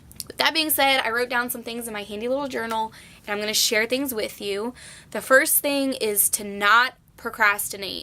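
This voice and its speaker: Loud and bright with a sharp tone, a woman speaks at a moderate pace with a fairly high pitch and ordinary pitch variation. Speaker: nursing student vlogger. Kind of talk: casual vlog tips.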